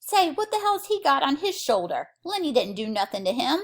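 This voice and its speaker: Using a put-on character voice, a woman squeaks at an extremely high pitch with very wide pitch swings at a moderate pace. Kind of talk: Depression-era rural American dialect. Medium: read story. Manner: blunt, rough working-class speech.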